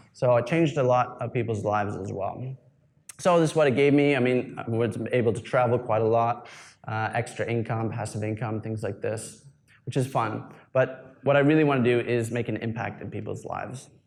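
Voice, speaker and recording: An ordinary speaking voice with a Canadian accent moves at a fairly quick pace. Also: man, medium pitch for a man, fairly even intonation. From Canada. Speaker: online business coach and YouTuber. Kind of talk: live presentation. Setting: event talk with audience. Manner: casual with many fillers.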